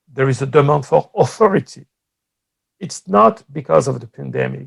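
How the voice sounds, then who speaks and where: A man with a French accent, recorded with a dry, close sound and no echo. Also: moderate pace. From France. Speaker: political science professor. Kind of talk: conference talk.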